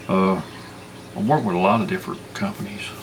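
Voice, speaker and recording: With a Southern US accent, a man talks amid noticeable background noise and audible room echo. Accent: southern drawl. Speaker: bigfoot researcher and channel host. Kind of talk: casual monologue. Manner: halting.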